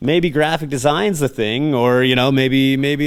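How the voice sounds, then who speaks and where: A man speaks at a moderate pace. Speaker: professional wrestler. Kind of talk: interview. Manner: halting.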